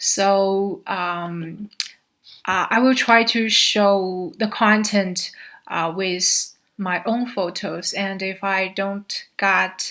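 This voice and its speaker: In a Chinese accent, the speaker uses a bright, sharp tone and fairly even intonation at a very slow pace. The recording is very clean, with a silent background. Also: woman, medium pitch for a woman. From China, Xi'an. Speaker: graduate student. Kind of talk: slide presentation. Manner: halting, many fillers.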